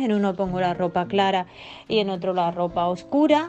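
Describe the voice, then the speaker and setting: A woman speaks at a moderate pace with a medium pitch. She has a plain, everyday voice. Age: 40s. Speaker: blind former philosophy teacher. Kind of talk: recorded testimony.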